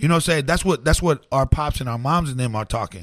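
Lively intonation and an animated tone come through in an American accent. The sound is dry and close, with no echo. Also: man. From Oklahoma. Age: 40s. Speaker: DJ and MC. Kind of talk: casual interview. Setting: recorded in his home. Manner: animated, slangy.

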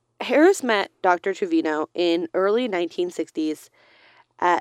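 A woman's medium-pitched voice makes very wide pitch swings against a quiet background. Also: dry, close sound with no echo. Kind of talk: casual chat. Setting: recording in a closet.

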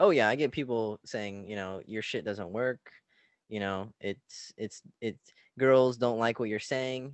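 There's an unremarkable speaking voice here, belonging to a man at medium pitch. He talks at a fairly slow pace. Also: ordinary pitch variation. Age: young. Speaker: relationship coach. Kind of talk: casual interview. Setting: video call.

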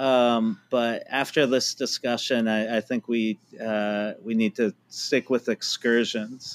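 With an American accent, a man at a medium pitch talks at a very slow pace with fairly even intonation and hardly any pauses, on a very clean recording with a silent background. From California, Palo Alto. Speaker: professor. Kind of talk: casual chat. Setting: studio.

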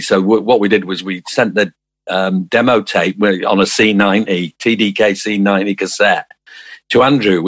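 The delivery is monotone and flat, in a Manchester accent. The sound is dry and close, with no echo. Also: man. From South Manchester, England. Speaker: musician. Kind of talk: interview. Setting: video call.

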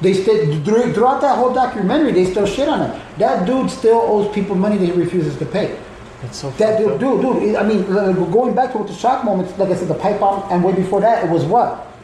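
A man's very fast, high-pitched speech with ordinary pitch variation amid noticeable background noise. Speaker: wrestling fan guest, called uncle. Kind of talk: casual chat about wrestling. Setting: recorded live in a home in Chicago.

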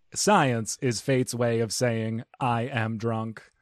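A man puts on a character voice. His pitch is medium and his pace fairly slow.

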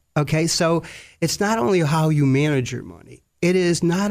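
A man speaks in a normal speaking voice at a fairly high pitch and a moderate pace, with lively intonation, on a very clean recording with a silent background. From US, Sicilian immigrant family. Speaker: retired bankruptcy judge. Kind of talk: interview.

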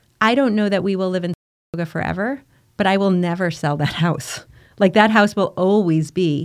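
A woman's plain, everyday voice, medium-pitched and fairly quick, with lively intonation. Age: 50s. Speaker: bereaved mother and charity founder. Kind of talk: casual interview conversation.

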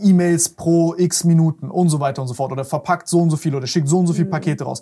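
Talking at a fairly quick pace with hardly any pauses, a man uses a high voice with a dark, mellow tone and fairly even intonation. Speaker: podcast host. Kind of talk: casual interview.

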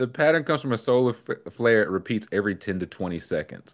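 A man speaks in an animated tone. His voice carries vocal fry. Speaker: podcast host. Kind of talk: casual comedic banter. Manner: animated, joking, quick-witted.

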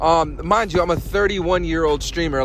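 With noticeable background noise behind it, the voice shows ordinary pitch variation. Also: man. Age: 30s. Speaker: podcast host. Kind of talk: casual monologue. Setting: on the way to work. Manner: conversational with many fillers.

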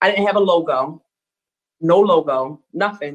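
At a fairly slow pace, a woman is speaking. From Baltimore, Maryland. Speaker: radio show host. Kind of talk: casual interview.

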